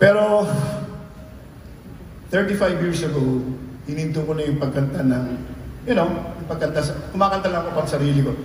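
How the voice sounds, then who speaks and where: Over light background noise and audible room echo, a man speaks at a fairly quick pace and fairly high pitch, with ordinary pitch variation. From Philippines. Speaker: singer. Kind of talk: stage banter to a concert audience. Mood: warm, joking, reminiscing. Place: stage.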